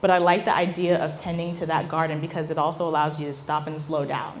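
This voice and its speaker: A woman's animated tone, with audible room echo and noticeable background noise. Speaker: business founder and speaker. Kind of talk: talk Q&A with audience. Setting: stage with audience.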